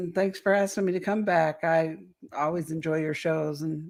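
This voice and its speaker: The intonation is monotone and flat. This woman's voice sits fairly low in pitch. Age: 60s. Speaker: alien abduction experiencer and author. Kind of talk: interview testimony.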